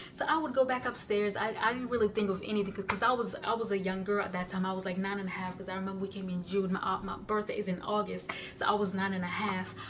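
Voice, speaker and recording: A woman talks at a very fast pace with hardly any pauses, her pitch medium and her intonation fairly even. Noticeable background noise runs behind her. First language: non-English (Kenyan language). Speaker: YouTuber sharing life story. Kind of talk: personal testimony. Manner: halting, many fillers and restarts.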